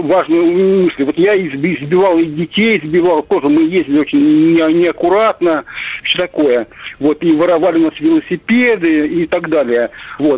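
The man's pitch is high. His loudness stays very even. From Russia, Moscow region. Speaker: radio caller. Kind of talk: phone-in comment. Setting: phone call.

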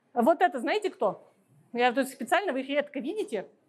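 Moderate pace with very wide pitch swings. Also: woman. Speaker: ornithologist and biologist. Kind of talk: public lecture with slides. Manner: hesitant with filler sounds.

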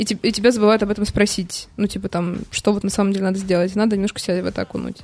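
A woman's medium-pitched voice with ordinary pitch variation, set against music in the background. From Moscow, Russia. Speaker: bar PR director. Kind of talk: casual chat.

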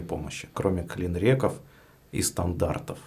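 A man's very deep, low voice. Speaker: podcast host. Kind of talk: interview.

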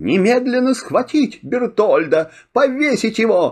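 A man puts on a character voice, pitched high. He goes fairly slowly, with big pitch swings. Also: slightly mellow tone.

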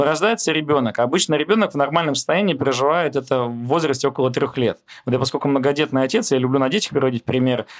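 Speaking at a fairly quick pace, a man has an unremarkable speaking voice with a fairly high pitch and ordinary pitch variation. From Moscow, Russia. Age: 30s. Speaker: oil company founder. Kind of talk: interview conversation.

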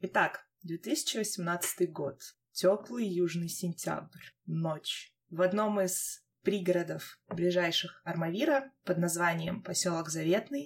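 Very slow speech from a woman pitched fairly low, its pitch varying in an ordinary way. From Armavir, Krasnodar region, Russia. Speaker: podcast host. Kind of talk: casual chat. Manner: animated, informal.

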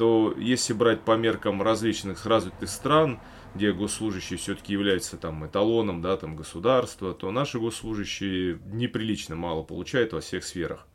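A man with an ordinary speaking voice talks at a moderate pace. His pitch is fairly low, with ordinary pitch variation. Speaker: podcast host, former police officer. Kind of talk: casual chat.

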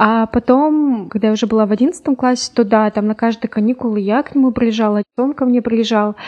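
An unremarkable speaking voice at a fairly quick pace, with very even loudness, fairly even intonation and hardly any pauses. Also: woman, fairly high pitch for a woman. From Urals, Russia (Yekaterinburg). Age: 20s. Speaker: lawyer. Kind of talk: casual chat. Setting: studio.

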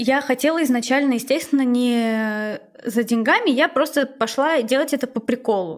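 A woman's high-pitched voice at a moderate pace, with very even loudness. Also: ordinary pitch variation. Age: 20s. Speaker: former tattoo artist. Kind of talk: casual chat.

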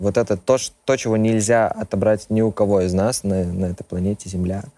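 A man with a dark, mellow tone speaks at a fairly low pitch and a fairly slow pace. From Belarus, Minsk. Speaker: rock band vocalist. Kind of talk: casual interview.

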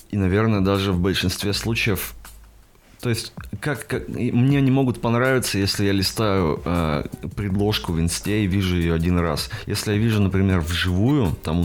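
A man talks with a very deep, low pitch and lively intonation. Noticeable background noise runs underneath. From Russia, Perm Krai. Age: 20s. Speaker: tattoo artist. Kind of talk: casual chat. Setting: studio.

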